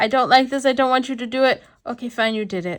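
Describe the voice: A female-sounding voice uses a growling put-on character voice at a high pitch and a very fast pace, in a very clean recording with a silent background.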